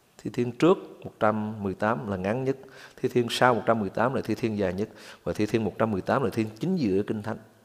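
This man has an ordinary speaking voice, with a medium pitch and a moderate pace. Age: 60s. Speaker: pastor. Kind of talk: sermon.

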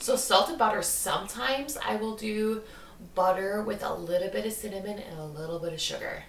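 Fairly quick, lively speech from a woman at medium pitch, with noticeable background noise. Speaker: podcast host. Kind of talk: casual chat, storytelling.

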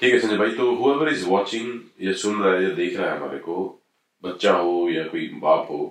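A man with an ordinary speaking voice speaks at a fairly low pitch with lively intonation. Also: moderate pace. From Haryana, India. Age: 40s. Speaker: podcast guest. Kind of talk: casual discussion.

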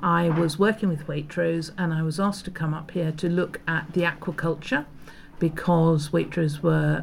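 Over noticeable background noise, a woman with a very deep, low pitch speaks at a moderate pace in a monotone, flat intonation. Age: 60s. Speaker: food writer. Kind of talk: casual chat. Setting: small hut by a bay.

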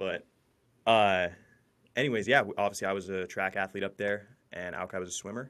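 Fairly quick speech with fairly even intonation is broken by long, frequent pauses in a very clean recording with a silent background. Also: man, fairly low pitch for a man. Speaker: podcast host, university student. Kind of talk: casual chat. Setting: home studio with blankets on walls.

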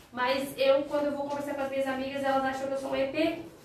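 A woman's high-pitched voice at a fairly quick pace, amid noticeable background noise and audible room echo. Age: 30s. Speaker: teacher. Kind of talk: casual chat.

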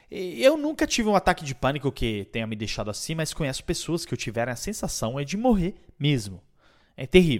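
A man's fairly high voice with very wide pitch swings at a moderate pace, on a very clean recording with a silent background. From Europe. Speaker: podcast host and speaker on digital transformation. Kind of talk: podcast monologue.

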